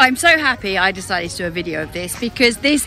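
Faint music plays in the background. The sound is dry, with no echo. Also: woman. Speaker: hiking vlogger. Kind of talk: casual vlog chat. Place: open country. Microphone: phone near.

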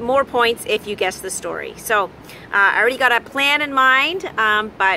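The intonation is lively and the pace fairly slow. Light background noise sits behind the voice. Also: woman. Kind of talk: casual vlog chat. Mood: warm and upbeat. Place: beach. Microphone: phone near.

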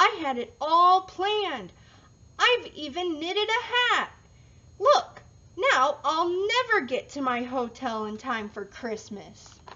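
A woman puts on a character voice, talking fairly slowly at an extremely high pitch with very wide pitch swings. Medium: read story. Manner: excited, eager.

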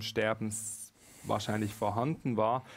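A man speaks in a medium pitch with monotone, flat intonation at a moderate pace. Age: 30s. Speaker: spiritual medium and author; interview guest. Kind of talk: live-streamed conversation. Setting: studio. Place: studio. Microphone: headset.

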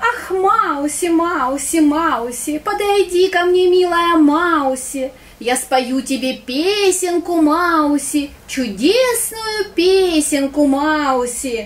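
In a cartoonish character voice, a woman speaks at an extremely high pitch and a very slow pace, with light background noise behind her. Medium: puppet.

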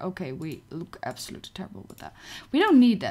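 A woman speaks in a dark, mellow tone marked by vocal fry. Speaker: gaming streamer. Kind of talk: casual live gameplay stream chat. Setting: home computer livestream. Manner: chatty, excitable. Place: home room.

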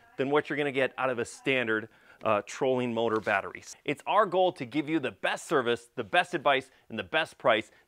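Few pauses break this man's fairly quick delivery. His fairly bright tone sits at a medium pitch with ordinary variation.

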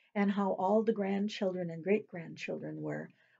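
Here we hear a natural reading voice.

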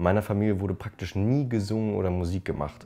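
The tone is dark and mellow, delivered at a fast pace with ordinary pitch variation. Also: man, low pitch for a man.

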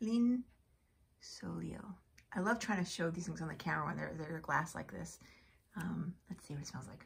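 A woman with vocal fry, fairly low pitch and lively intonation, at a fairly quick pace, over light background noise. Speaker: beauty product reviewer. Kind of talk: casual unboxing chat to camera. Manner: casual, hesitant with fillers. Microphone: phone near.

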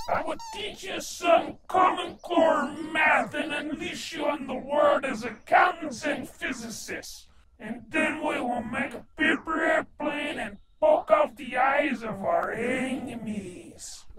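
A high-pitched, put-on character voice comes through with a slight echo. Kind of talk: comic overacting. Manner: pompous, comic.

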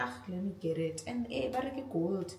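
A woman talks at a moderate pace. There is audible room echo and light background noise. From South Africa. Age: 20s. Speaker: lifestyle vlogger. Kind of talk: casual talk to camera, haul review. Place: kitchen.

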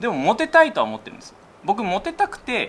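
Light background noise accompanies a man talking at a very fast pace. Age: 30s. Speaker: YouTuber; YouTuber host asking for advice. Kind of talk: casual chat. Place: office.

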